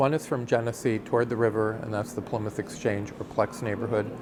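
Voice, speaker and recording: Noticeable background noise sits under a man speaking at a moderate pace in a fairly low pitch. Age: 60s. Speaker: community resident interviewed about the neighborhood. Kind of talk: documentary interview. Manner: halting, many fillers.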